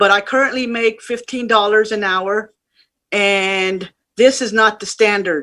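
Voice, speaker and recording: In a fairly high, bright and sharp voice, a woman speaks at a fairly slow pace with fairly even intonation. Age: 60s. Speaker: home care worker. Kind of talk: personal testimony at virtual rally. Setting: virtual rally.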